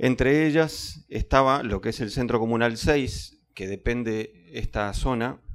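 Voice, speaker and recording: Speaking at a fairly slow pace with hardly any pauses, a man uses ordinary pitch variation. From Uruguay. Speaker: cultural manager; public panelist. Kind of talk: panel talk. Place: classroom. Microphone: handheld.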